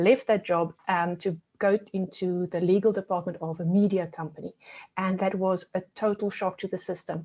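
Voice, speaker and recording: Against a quiet background, a woman with a South African accent talks at a medium pitch in a flat, monotone way. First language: Afrikaans. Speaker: resilience coach. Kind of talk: webinar presentation. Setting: video call.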